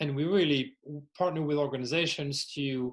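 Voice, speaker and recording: In a French accent, a man speaks fairly slowly at a fairly high pitch. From France. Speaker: workplace well-being executive and podcaster. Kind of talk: podcast interview.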